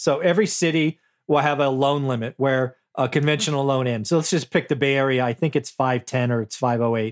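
A man with a normal speaking voice, pitched fairly high, with ordinary pitch variation. He talks at a fairly quick pace. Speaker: real estate investor and author. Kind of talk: interview.

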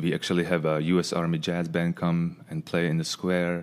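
With a Czech accent, a man speaks at a moderate pace in a very deep, low pitch and a monotone, flat intonation. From Czech Republic, Pilsen. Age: 40s. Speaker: former ice hockey player. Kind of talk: casual chat. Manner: halting.

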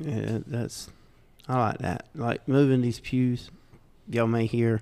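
In a Southern US accent, a man speaks fairly slowly at medium pitch with a dark, mellow tone and fairly even intonation. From US South. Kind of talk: casual podcast chat.

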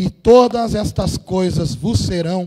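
A man is speaking. His intonation is lively. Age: 40s. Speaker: pastor. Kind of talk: sermon. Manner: informal, slangy preaching.

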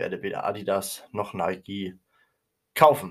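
A man's voice comes through on a very clean recording with a silent background. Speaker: podcast host. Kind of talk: opinion monologue. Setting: home recording room, nearly emptied while moving.

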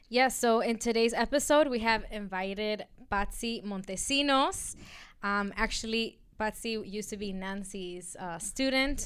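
A plain, everyday voice at a fairly slow pace with ordinary pitch variation, on a very clean recording over a silent background. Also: woman, fairly high pitch for a woman. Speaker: podcast co-host. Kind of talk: casual chat.

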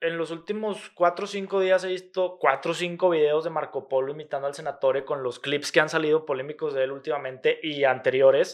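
This man has an unremarkable speaking voice, pitched fairly high with ordinary pitch variation. He talks at a fairly quick pace with hardly any pauses. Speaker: podcast host. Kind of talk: casual chat.

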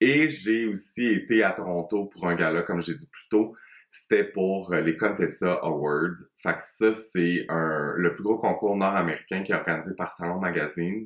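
A man with a Quebec accent speaks at a very deep, low pitch. His pace is fairly slow, with ordinary pitch variation. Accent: Québécois French. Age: 30s. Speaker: hairdresser and podcast host. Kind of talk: solo podcast monologue. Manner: casual, hesitant with fillers.

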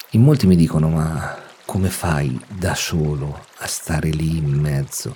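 A man's very deep, low voice with ordinary pitch variation amid noticeable background noise. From Umbria, central Italy. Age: 40s. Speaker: nature photographer and podcaster. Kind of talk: solo podcast monologue. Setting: at home.

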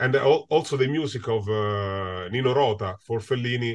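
Against a quiet background, a man with an Italian accent speaks at a moderate pace and medium pitch, with ordinary pitch variation. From Italy. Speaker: film composer. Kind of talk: interview. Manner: halting.

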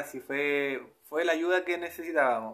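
A man with a Chilean accent talks in a bright, sharp tone. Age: 20s. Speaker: spiritual podcaster. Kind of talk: personal spiritual monologue. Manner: hesitant, repetitive.

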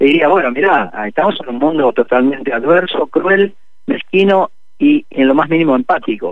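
This man speaks at a moderate pace in a fairly high pitch. His pitch swings are very wide. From Argentina. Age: 60s. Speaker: musician. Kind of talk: radio interview.

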